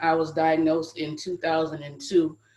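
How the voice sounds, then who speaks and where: A woman's very deep, low voice, monotone and flat, in an American accent. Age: 40s. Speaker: HIV advocate. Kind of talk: panel discussion.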